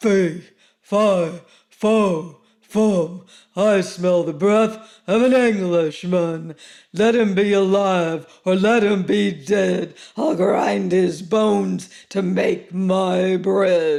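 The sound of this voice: A very slow, high-pitched put-on character voice from a man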